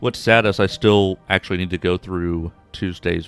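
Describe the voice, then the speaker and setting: Talking at a fairly quick pace, a man uses a very deep, low pitch and flat, monotone intonation. The sound is dry and close with no echo, with music behind him. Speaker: streamer. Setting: live stream.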